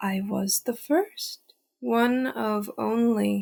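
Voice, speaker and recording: In a put-on character voice, the speaker goes at a very slow pace with a sing-song lilt. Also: woman, fairly high pitch for a woman. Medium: read story. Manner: cheery, singsong, speaks in rhyme.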